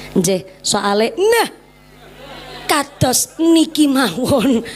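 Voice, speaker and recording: A woman with a Javanese accent and lively intonation, amid noticeable background noise. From Central Java, Ngapak region. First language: Javanese (speaking Indonesian). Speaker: female Islamic preacher. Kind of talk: sermon. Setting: stage with audience and PA system. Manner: animated. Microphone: sound effect/echo on PA mic removed.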